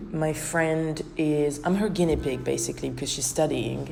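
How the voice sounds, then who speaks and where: The woman's pitch is very deep and low. Noticeable noise runs in the background. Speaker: dance choreographer and podcaster. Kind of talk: casual reflective podcast talk.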